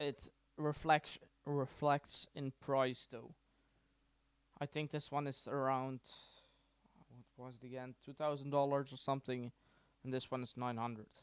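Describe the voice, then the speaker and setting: With a Dutch accent, the speech moves at a fairly slow pace with long, frequent pauses and monotone, flat intonation, in a dry, close sound with no echo. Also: man, medium pitch for a man. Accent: Dutch accent, quite noticeable. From Netherlands. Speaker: tech tutorial streamer. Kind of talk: tutorial. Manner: casual, hesitant with many fillers.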